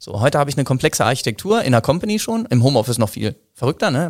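A man's very fast, medium-pitched speech on a very clean recording with a silent background. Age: 40s. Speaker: business development manager in telecom. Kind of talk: interview. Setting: studio, face to face. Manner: hesitant with fillers.

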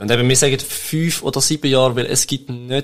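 The speaker is a man. His voice sits at medium pitch. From Switzerland, Toggenburg (St. Gallen). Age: 20s. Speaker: web agency co-founder. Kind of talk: interview. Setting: studio. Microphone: shared microphone, may sound quieter.

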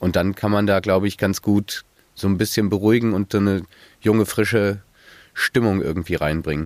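A man with an ordinary speaking voice, fairly low pitch, fairly even intonation, very even loudness and a fairly quick pace, on a very clean recording with a silent background and a dry, close sound with no echo. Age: 20s. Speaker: student, construction site worker. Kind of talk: casual interview.

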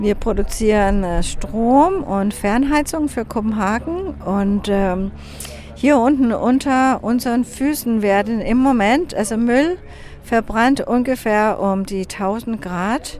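The voice has a Danish accent and lively intonation at a very slow pace. Noticeable background noise runs underneath. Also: woman, fairly high pitch for a woman. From Denmark, Copenhagen. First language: Danish (speaking German). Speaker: tour guide. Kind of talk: guided city tour. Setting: outdoors in the city. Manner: hesitant, many fillers.

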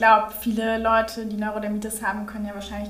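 The recording has noticeable background noise along with audible room echo. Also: woman. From Berlin. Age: young. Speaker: doctor, podcast co-host. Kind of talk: educational conversation.

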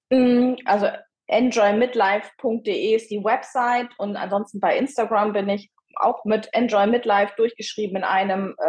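In a normal speaking voice, a woman with a fairly high pitch talks at a fairly slow pace and with fairly even intonation. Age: 50s. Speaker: midlife coach. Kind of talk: interview.

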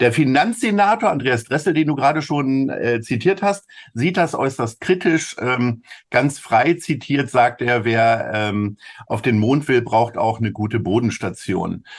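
Against a quiet background, a man with a medium-pitched voice speaks fairly slowly with lively intonation. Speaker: podcast co-host, agency managing director. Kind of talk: casual chat.

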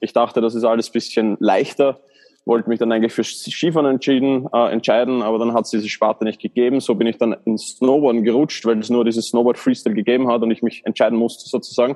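At a very fast pace, a man with an Austrian accent speaks in a monotone, flat intonation at a medium pitch. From Austria, Baden (Lower Austria). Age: 30s. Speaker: former Olympic athlete and coach. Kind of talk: interview. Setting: hotel room. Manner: halting.

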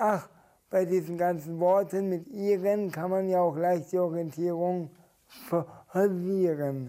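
Slowly, with long, frequent pauses, a man speaks at high pitch in a dark, mellow tone with fairly even intonation. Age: young. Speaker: poetry slammer. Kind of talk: poetry slam performance; interview. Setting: stage with audience.

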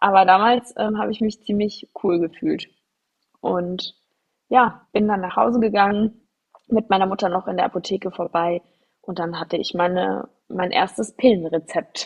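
In a plain, everyday voice, a woman speaks at a medium pitch and moderate pace with ordinary pitch variation. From Germany, near Frankfurt. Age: 30s. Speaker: podcast host. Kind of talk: solo personal storytelling podcast. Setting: studio microphone.

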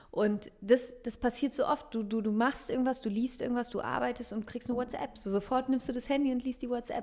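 With fairly even intonation, a woman's voice has a dark, mellow tone. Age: 30s. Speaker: meditation coach and podcaster. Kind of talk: interview.

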